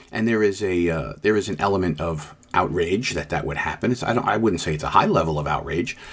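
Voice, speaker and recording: At a fairly quick pace, a man speaks in a plain, everyday voice at a fairly low pitch with ordinary pitch variation. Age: 60s. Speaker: podcast host, police lieutenant. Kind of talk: solo commentary monologue.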